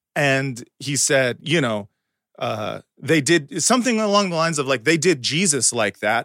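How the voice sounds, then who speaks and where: With an American accent, the speaker uses a bright, sharp tone, lively intonation and a moderate pace. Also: man, fairly high pitch for a man. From United States. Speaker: comedian. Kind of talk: casual chat.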